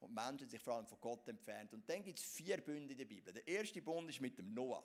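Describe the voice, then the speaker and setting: This man's voice sits fairly high and swings very widely in pitch. He keeps a moderate pace. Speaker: pastor. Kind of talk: sermon. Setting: church.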